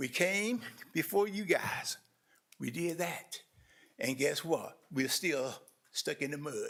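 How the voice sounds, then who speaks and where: On a very clean recording with a silent background, a man with a North Carolina accent speaks in a high voice with lively intonation. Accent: Southern US, North Carolina. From US South, eastern North Carolina (Roseboro). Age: 70s. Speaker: community watch president, public speaker. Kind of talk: public comment at a government meeting. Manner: earnest, impassioned.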